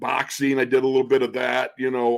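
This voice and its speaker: This man talks at a fairly quick pace in a normal speaking voice. His pitch sits in the medium range with ordinary variation. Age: 60s. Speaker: football radio color analyst, former NFL player. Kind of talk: casual chat.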